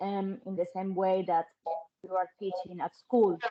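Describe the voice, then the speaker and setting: With a Spanish accent, a woman talks in a monotone, flat intonation. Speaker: parent. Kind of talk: online Q&A question. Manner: halting.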